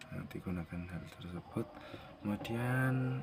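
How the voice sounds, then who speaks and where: Noticeable background noise fills the clip. A man's voice comes through it. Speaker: vlogger. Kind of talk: casual vlog.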